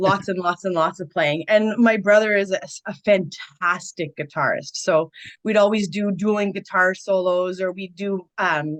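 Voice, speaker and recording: A woman's medium-pitched voice at a moderate pace. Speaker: blues rock singer and guitarist. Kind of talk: interview. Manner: animated.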